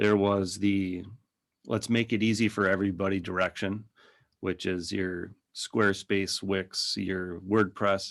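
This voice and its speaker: A fairly low-pitched man in a Minnesotan accent, monotone and flat, at a fairly slow pace. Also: very clean recording, silent background. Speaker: digital agency owner. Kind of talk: podcast interview. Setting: podcast.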